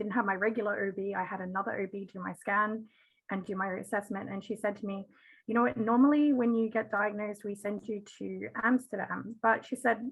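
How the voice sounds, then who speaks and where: Speaking at a moderate pace in an Australian accent, a woman keeps a medium pitch and fairly even intonation. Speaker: parent of twins, patient advocate. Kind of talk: panel discussion.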